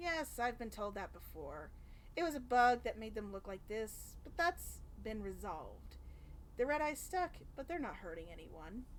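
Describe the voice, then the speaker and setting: A woman speaks in a put-on character voice at a moderate pace. Background noise is clearly heard. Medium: game stream. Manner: playful, teasing.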